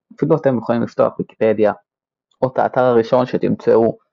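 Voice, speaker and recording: This man has an ordinary speaking voice, a fairly high pitch, and a moderate pace. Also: very even loudness. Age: 20s. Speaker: podcast host, aircraft technician. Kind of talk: scripted podcast monologue.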